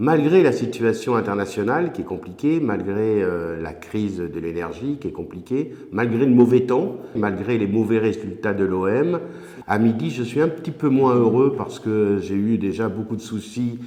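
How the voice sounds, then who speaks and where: Heard with audible room echo, a man speaks at a medium pitch in a dark, mellow tone with lively intonation. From southern France, Mediterranean coast. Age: 60s. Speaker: regional politician. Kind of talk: interview. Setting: office. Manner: hesitant, frequent filler 'euh'.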